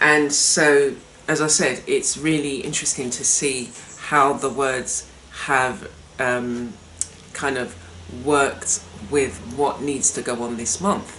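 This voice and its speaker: In a room with audible echo and noticeable background noise, a woman speaks very slowly in a relaxed tone with a very deep, low voice. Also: ordinary pitch variation. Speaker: art workshop host. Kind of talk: casual talk-to-camera presentation. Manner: relaxed, conversational with hesitations.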